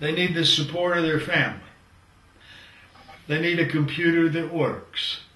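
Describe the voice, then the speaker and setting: Amid noticeable background noise and audible room echo, a man with a high pitch speaks in a monotone, flat way at a moderate pace, leaving long, frequent pauses. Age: 70s. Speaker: professor. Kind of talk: lecture.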